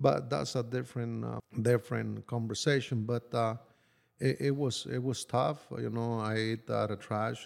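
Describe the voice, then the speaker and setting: A man talks at a moderate pace with a Spanish accent. The recording is very clean, with a silent background. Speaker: construction worker. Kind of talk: personal life story. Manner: halting with frequent fillers.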